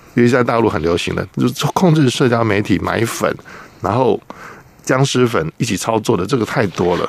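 A man at a moderate pace, lively intonation and noticeable background noise. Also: medium pitch for a man. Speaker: journalist, former air force maintenance technician. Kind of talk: radio interview.

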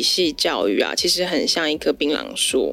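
A woman talking at a moderate pace with music in the background. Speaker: florist and flower arranging teacher. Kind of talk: casual interview chat.

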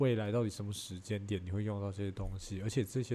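A man's somewhat breathy voice, dark and mellow in tone, at a fairly low pitch and a very fast pace. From Taiwan. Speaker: podcaster. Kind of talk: casual chat. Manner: animated.

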